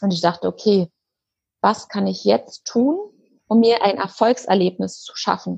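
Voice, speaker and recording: Here a woman talks at a medium pitch. A somewhat breathy quality marks her voice. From Germany, Berlin. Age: 30s. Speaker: eating disorder coach and part-time nurse. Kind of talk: interview.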